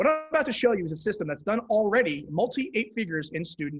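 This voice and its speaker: Very fast speech with lively intonation. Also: man. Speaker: e-commerce coach. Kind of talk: live stream tutorial. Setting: live stream. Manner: animated.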